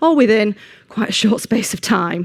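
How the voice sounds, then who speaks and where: A woman with a Manchester accent speaks at a moderate pace. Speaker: engineering manager, conference speaker. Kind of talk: conference talk. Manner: hesitant with frequent ums.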